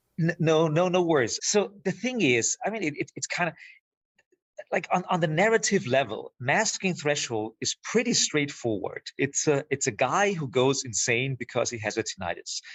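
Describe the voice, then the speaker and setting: Speaking with a German accent, a man with a fairly high pitch and vocal fry talks at a moderate pace, his pitch swinging very widely. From Austria. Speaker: filmmaker. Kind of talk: podcast interview. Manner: halting, many repeated words.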